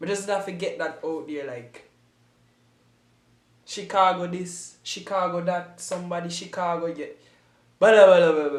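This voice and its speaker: In a Jamaican accent, a man with a high pitch speaks with fairly even intonation, big swings in loudness, and long, frequent pauses, over audible room echo. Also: moderate pace. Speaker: YouTube reactor. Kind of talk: casual reaction commentary.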